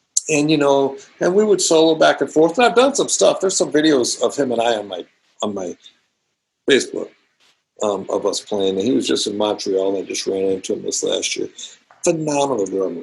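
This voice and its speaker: A man with an American accent talks at a fairly quick pace. He leaves long, frequent pauses. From US West Coast, California. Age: 60s. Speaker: drummer. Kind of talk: interview. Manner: casual, animated.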